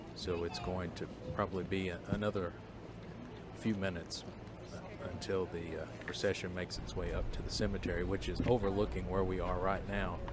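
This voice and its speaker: Whispering at a fairly quick pace with long, frequent pauses, a man is heard through audible room echo. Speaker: TV news reporter. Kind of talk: live commentary. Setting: outdoors.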